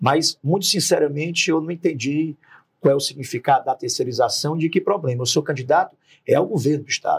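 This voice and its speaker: On a very clean recording with a silent background and a dry, close sound with no echo, a man with a normal speaking voice talks at a fairly high pitch and a fairly quick pace with ordinary pitch variation. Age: 40s. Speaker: politician, gubernatorial candidate. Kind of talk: political interview.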